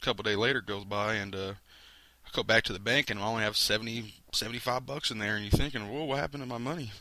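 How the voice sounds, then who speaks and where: A man's fairly low voice, bright and sharp in tone, at a very fast pace with fairly even intonation, on a very clean recording with a silent background. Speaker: network marketing distributor. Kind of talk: product demo. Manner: casual, filler-heavy.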